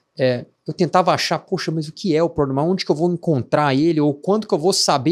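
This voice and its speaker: Speaking very fast with a Minas Gerais accent, a man shows ordinary pitch variation in a very clean recording with a silent background. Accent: noticeable Minas Gerais (mineiro). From Minas Gerais, Brazil. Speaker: tech startup founder. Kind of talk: podcast interview. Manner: hesitant, many filler words.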